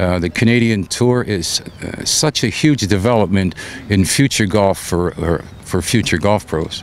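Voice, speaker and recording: Over noticeable background noise, a man with a fairly low pitch speaks at a fairly slow pace with ordinary pitch variation. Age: 70s. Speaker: professional golfer. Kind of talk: interview.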